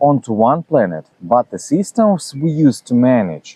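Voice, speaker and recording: The voice has a dark, mellow tone with very wide pitch swings at a fairly slow pace. The sound is dry and close with no echo. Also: man. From Russia, Saint Petersburg. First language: Russian. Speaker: philosophy channel host. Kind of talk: reading aloud a self-translated talk. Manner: halting, many fillers.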